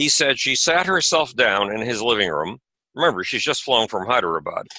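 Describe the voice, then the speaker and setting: A man's medium-pitched voice with an American accent, bright and sharp in tone, with vocal fry, very wide pitch swings and a fairly quick pace. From USA. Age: 70s. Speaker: author and space advocate. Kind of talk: interview conversation. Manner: animated.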